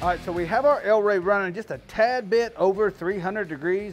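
Music plays in the background as a man talks fairly quickly in a high-pitched voice. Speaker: barbecue cook host. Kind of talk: tutorial. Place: garden.

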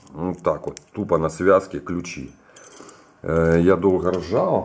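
Low in pitch with a slightly mellow tone, a man talks slowly with ordinary pitch variation.

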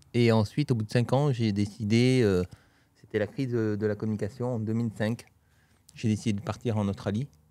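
A man with a dark, mellow tone and fairly low pitch speaks at a moderate pace with fairly even intonation, the sound dry with no echo. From Toulouse, southwest France; southwest France. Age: 40s. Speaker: real estate trainer. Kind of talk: casual interview chat. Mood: relaxed storytelling. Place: studio. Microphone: studio mic.

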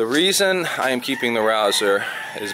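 A man speaking at a fairly slow pace over light background noise. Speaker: expat vlogger. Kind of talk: casual vlog chat. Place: garage. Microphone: phone near.

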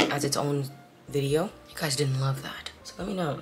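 A woman keeps a moderate pace while noticeable background noise runs underneath. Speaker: vlogger. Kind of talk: casual vlog talk to camera. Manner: animated.

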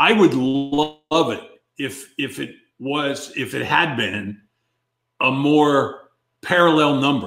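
A gruff man's voice at a fairly high pitch, very slow, with long, frequent pauses, ordinary pitch variation and audible room echo. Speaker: former baseball player. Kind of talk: casual banter. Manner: grumpy, gruff, opinionated. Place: home room.

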